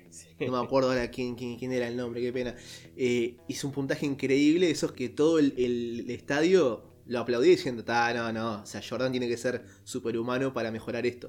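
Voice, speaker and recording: A man's plain, everyday voice at a medium pitch, fairly quick in pace, with fairly even intonation and big swings in loudness. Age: 20s. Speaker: podcast co-host. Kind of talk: casual chat. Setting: remote recording.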